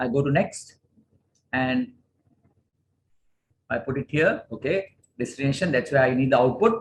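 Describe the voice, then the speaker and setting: A man's fairly high, somewhat breathy voice with lively intonation, a moderate pace, and long, frequent pauses. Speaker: corporate trainer. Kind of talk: tutorial. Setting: video call.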